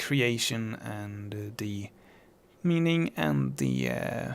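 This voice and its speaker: Recorded very cleanly against a silent background, a man speaks with a non-native accent. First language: not English. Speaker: musician talking about own songs. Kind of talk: casual podcast monologue. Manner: halting, many fillers.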